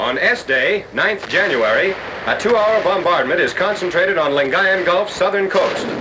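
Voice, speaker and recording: A man's high-pitched, raised and projected voice, with ordinary pitch variation and very even loudness, over noticeable background noise. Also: moderate pace. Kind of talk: wartime newsreel narration.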